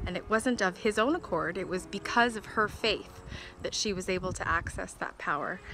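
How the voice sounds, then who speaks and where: Faint music plays in the background as a woman speaks at a moderate pace with fairly even intonation, in a dry sound with no echo. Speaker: vlogger. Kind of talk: casual vlog chat. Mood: warm, heartfelt, smiling. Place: open country. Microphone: phone near.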